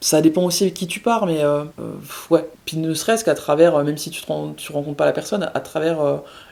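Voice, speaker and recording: A woman with a very deep, low pitch speaks with ordinary pitch variation and big swings in loudness. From eastern France (Franche-Comté). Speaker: traveler. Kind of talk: casual interview chat. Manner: hesitant, many filler sounds.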